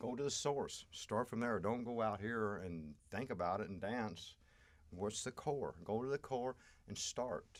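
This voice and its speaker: A man's normal speaking voice, medium in pitch with ordinary pitch variation, comes at a fairly slow pace. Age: 60s. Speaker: astrology and healing guest. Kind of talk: podcast interview.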